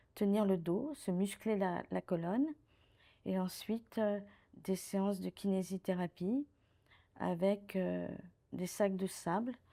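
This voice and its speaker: A woman speaks very slowly in a medium-pitched, dark and mellow voice with fairly even intonation. The recording is very clean, with a silent background. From France, Paris. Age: 60s. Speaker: retired director of social care facilities. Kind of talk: testimony.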